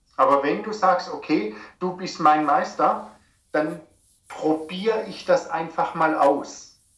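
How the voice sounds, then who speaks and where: A man talks in a high pitch with ordinary pitch variation. Audible room echo surrounds his voice. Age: 50s. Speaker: personal trainer and naturopath. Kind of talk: interview. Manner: halting.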